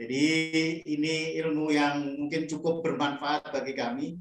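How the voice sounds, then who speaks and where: A man's fairly high voice at a fairly slow pace, with audible room echo and a quiet background. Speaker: moderator. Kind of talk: formal moderating. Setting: video call. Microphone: video call.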